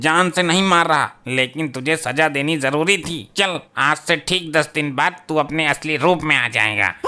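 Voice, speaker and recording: In a cartoonish character voice, a man speaks at a moderate pace with hardly any pauses, fairly high pitch and ordinary pitch variation. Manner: stern, commanding.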